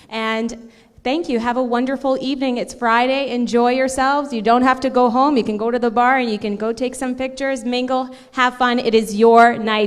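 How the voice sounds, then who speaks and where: A Canadian accent at a moderate pace, with fairly even intonation and audible room echo. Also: woman. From Canada, Ontario (Cambridge), Portuguese immigrant family. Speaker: event host, TV entertainment presenter. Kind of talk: closing remarks at gala. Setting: stage with audience at gala. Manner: loud.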